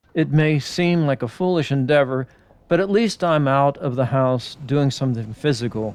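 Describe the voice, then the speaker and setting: Here is a man with a normal speaking voice at a medium pitch. His intonation is lively and his pace moderate. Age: 60s. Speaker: retired hobby vlogger. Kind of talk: scripted narration voiceover. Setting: overdubbed voiceover.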